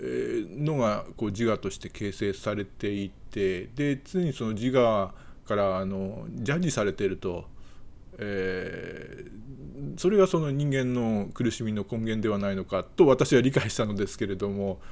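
The intonation is lively. The pace is fairly slow. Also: man, fairly low pitch for a man. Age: 60s. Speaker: YouTuber; video commentator. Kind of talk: casual monologue; casual commentary chat. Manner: hesitant with many fillers. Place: home room. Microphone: webcam.

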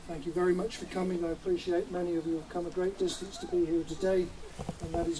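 Background noise is noticeable. Through it, a man speaks very fast. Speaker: master of ceremonies. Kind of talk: ceremonial address. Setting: outdoors. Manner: formal. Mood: polite, formal, warm. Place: open country. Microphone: handheld.

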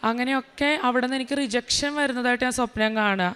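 High pitch and fairly even intonation from a female speaker. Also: very clean recording, silent background. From Kerala, Vypin (Ernakulam). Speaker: speech therapist. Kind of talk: religious testimony.

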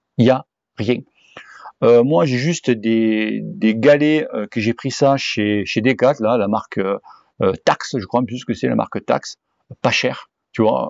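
A man speaks at a medium pitch and a very slow pace, with ordinary pitch variation. His long, frequent pauses sit in a dry sound with no echo against a quiet background. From southwest France (Cahors); southwest France. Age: 40s. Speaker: cycling YouTuber. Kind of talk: Q&A answering viewer questions, casual. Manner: hesitant, many fillers. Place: garden. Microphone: phone near.

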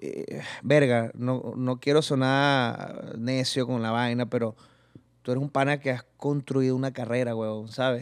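At a fairly slow pace, the speaker talks in a flat monotone over a quiet background. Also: man, medium pitch for a man. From Venezuela, Barinas (llanos region); Venezuela. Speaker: comedian and youtuber; comedian, youtuber. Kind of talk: casual interview chat. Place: studio. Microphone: studio mic.

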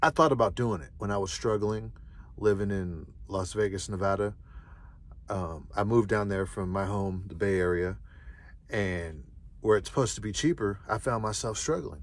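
A man's fairly low voice with ordinary pitch variation, moderate pace and long, frequent pauses, in a dry recording with no echo. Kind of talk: casual vlog chat. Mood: calm, reflective. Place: car.

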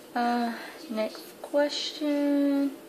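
A woman with a Southern US accent speaks over noticeable background noise. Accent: Southern US (Georgia). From US South, Atlanta, Georgia. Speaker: beauty vlogger. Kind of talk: casual vlog, tag video. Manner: kept quiet so as not to wake her sleeping son. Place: home room. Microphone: webcam.

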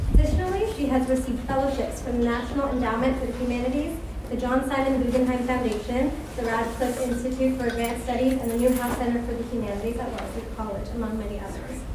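A woman's high, fairly even voice at a very fast pace, with audible room echo and noticeable background noise. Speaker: event host introducing speaker. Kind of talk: speaker introduction read aloud. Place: hall.

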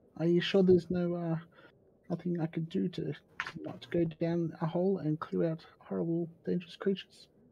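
A man in a put-on character voice speaks at a moderate pace, his high pitch sounding shaky. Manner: manic, nervous, trembling.

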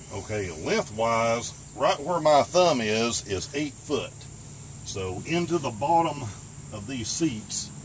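This is a man speaking. Noticeable background noise is present. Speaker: van life vlogger. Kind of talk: tutorial. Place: car. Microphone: camera far.

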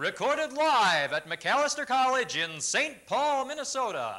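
At a fairly slow pace, a man with an extremely high pitch projects a raised voice with a bright, sharp tone. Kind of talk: TV commercial read.

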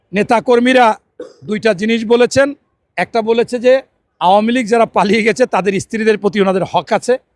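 This man's voice is high-pitched with ordinary pitch variation and very even loudness. The sound is dry and close, with no echo. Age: 50s. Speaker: politician. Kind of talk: interview.

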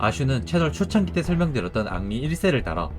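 Music plays behind a man who speaks at a fairly quick pace, his pitch swinging very widely. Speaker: game lore video creator. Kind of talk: game story narration. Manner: casual, with offhand remarks.

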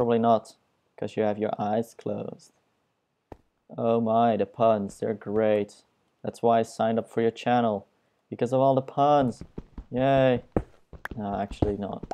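A speaker with a non-native accent talks at a fairly slow pace with long, frequent pauses. The tone is dark and mellow, the intonation monotone and flat. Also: man, medium pitch for a man. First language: not English. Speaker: gaming YouTuber. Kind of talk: let's play commentary. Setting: screen recording at home. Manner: self-deprecating, joking; casual, rambling.

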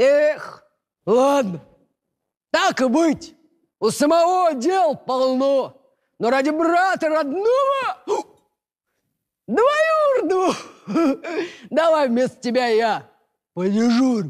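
A gruff, put-on character voice moves at a very slow pace. Long pauses come often. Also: man, extremely high pitch for a man. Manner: fake gruff, conspiratorial.

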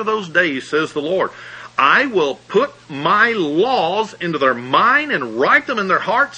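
Very wide pitch swings mark this voice with a Southern US accent, heard over noticeable background noise. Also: man. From US South, Alabama. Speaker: pastor. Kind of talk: sermon.

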